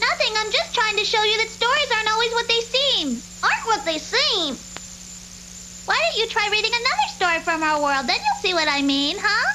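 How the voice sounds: An extremely high-pitched cartoonish character voice comes through over clear background noise. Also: fairly quick pace.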